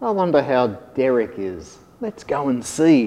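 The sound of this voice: The reading voice here is unforced.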